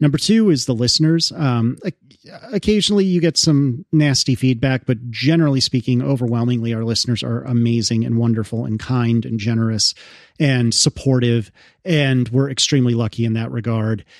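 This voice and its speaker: In a very clean recording with a silent background, a man with an American accent and an ordinary speaking voice talks at a moderate pace and medium pitch with ordinary pitch variation. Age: 30s. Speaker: podcaster and developer. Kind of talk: casual chat.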